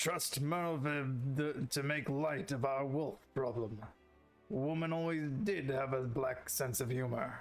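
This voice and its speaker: A man speaks in a put-on character voice at a medium pitch with ordinary pitch variation. His pace is fairly slow, with faint music in the background. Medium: game stream. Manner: gruff, blunt, archaic phrasing.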